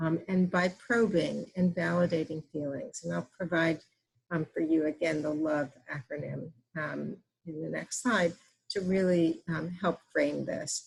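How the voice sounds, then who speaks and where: A woman speaks with an American accent in a normal speaking voice. Her pitch variation is ordinary. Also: fairly low pitch for a woman, fairly slow pace. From US Northeast. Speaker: physician and breastfeeding educator. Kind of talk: webinar presentation. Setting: online webinar.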